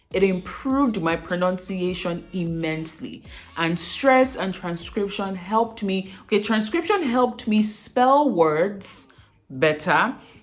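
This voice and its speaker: Music plays in the background. A woman at medium pitch speaks at a fairly slow pace with lively intonation. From Nigeria, Edo State (Benin). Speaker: aspiring broadcaster, accent coach vlogger. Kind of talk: vlog talk to camera. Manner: clear careful enunciation.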